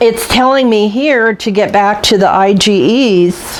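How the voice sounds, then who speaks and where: A woman's medium-pitched voice, with ordinary pitch variation, comes through noticeable background noise. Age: 60s. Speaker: cooking channel host. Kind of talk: casual vlog talk to camera. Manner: halting, with many fillers.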